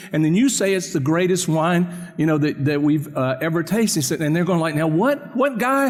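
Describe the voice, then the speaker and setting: Over noticeable background noise and audible room echo, a man speaks at a fairly quick pace in a high voice with very wide pitch swings and very even loudness. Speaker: pastor. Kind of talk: sermon. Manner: fast.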